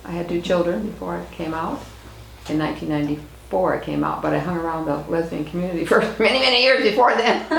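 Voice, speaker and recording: A woman with an American accent and a fairly low pitch talks at a fairly quick pace. Audible room echo and noticeable background noise surround her voice. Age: 70s. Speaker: activist. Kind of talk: oral history interview.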